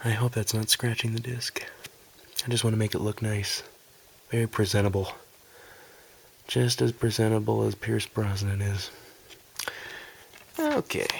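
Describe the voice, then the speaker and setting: A man speaks at a moderate pace and fairly low pitch, his intonation monotone and flat. Long, frequent pauses break up his speech over noticeable background noise. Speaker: ASMR content creator. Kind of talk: ASMR whispered video game collection review. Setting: amateur home recording. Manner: whispered, soft.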